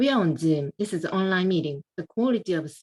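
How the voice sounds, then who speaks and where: A woman with a non-native accent and lively intonation. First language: not English. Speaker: club member giving evaluation. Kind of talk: speech evaluation. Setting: video call. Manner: halting.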